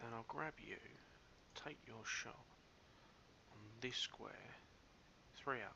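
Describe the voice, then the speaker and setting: A man whispers at a very slow pace, leaving long, frequent pauses. His loudness swings widely. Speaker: let's play gamer. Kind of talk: let's play commentary.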